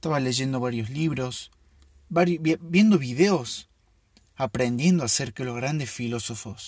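A somewhat breathy male voice, medium in pitch, at a rather unhurried pace. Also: ordinary pitch variation. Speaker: podcast host. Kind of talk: casual solo monologue.

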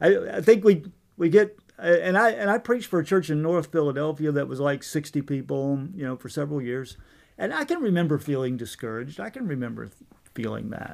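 A plain, everyday voice from a man with an American accent, fairly high in pitch, with lively intonation at a fairly quick pace. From Virginia, US. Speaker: theology professor. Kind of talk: interview.

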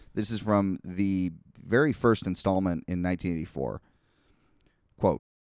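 A plain, everyday voice from a man, fairly low in pitch, at a moderate pace, with a dry, close sound and no echo. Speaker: podcast host. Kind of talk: casual chat. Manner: conversational, rambling.

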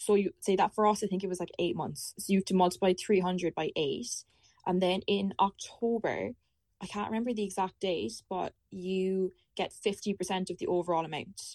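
Recorded with a dry, close sound and no echo, a woman with an Irish accent speaks at a medium pitch and a moderate pace, her intonation fairly even. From Ireland. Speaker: university student on Erasmus. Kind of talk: casual chat.

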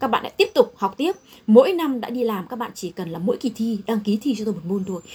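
Her loudness swings widely and her intonation is lively. The woman talks at a very fast pace with a fairly high pitch. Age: 40s. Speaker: chief accountant. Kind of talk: talk to students.

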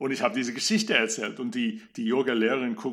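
A man speaks with an English accent, his intonation fairly even. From USA. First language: English (speaking German). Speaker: opera singer and voice coach. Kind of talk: interview.

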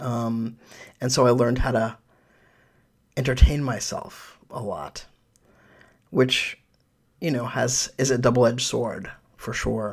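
The speaker has an American accent and vocal fry, with fairly even intonation. Long pauses come often. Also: man, medium pitch for a man. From New York City. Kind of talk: interview. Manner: halting.

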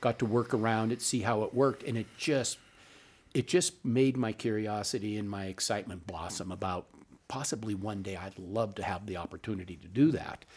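A man's unremarkable speaking voice at a medium pitch, fairly quick in pace with ordinary pitch variation, on a very clean recording with a silent background. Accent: American. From Montana (Butte). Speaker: politician. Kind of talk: interview. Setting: studio.

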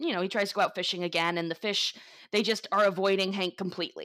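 A woman with an American accent speaks fairly quickly in an ordinary speaking voice of medium pitch, with ordinary pitch variation. The recording is very clean, with a silent background. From Florida. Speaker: podcast co-host. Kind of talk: storytelling; casual chat.

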